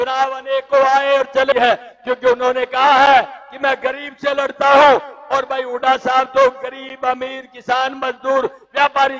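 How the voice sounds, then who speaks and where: A man speaks loudly at an extremely high pitch. His pace is fairly slow. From Haryana, India. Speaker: politician. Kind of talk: political rally speech. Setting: stage at a public rally. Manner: loud, forceful oratory. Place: stage. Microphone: handheld.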